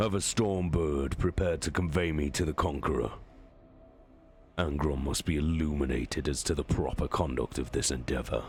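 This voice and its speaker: Over clear background noise, a man does a put-on character voice with a very deep, low pitch and very even loudness. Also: moderate pace, ordinary pitch variation. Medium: game stream. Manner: measured, authoritative.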